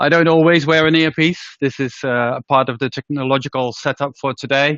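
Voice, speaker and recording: A man speaks at a fairly quick pace. His pitch is fairly high and his intonation fairly even. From Netherlands. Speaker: healthcare organisation leader. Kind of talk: presentation talk. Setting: room with live audience and webinar.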